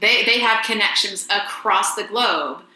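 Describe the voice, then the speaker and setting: A woman speaks with audible room echo. Noticeable background noise runs under her voice. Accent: American. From US South, rural Georgia. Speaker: voice teacher, presenter. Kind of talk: webinar presentation and Q&A.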